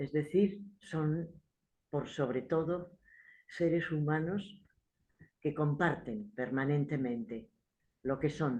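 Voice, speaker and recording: Speaking at a very slow pace with long, frequent pauses, a woman uses a very deep, low pitch and ordinary pitch variation. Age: 70s. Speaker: theatre practitioner. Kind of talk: book presentation speech. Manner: halting, with repetitions.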